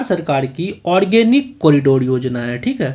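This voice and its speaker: This man's voice sits fairly high in pitch. His pitch swings very widely. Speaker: exam prep teacher. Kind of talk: tutorial. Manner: slow.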